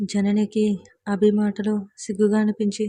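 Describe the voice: A quiet background beneath plain reading aloud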